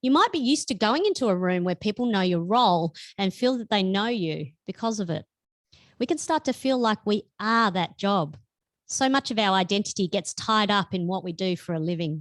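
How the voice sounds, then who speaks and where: Speaking fairly quickly in an Australian accent, a woman uses lively intonation at a medium pitch. The very clean recording has a silent background and a dry, close sound with no echo. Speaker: author. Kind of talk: reading aloud. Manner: loud.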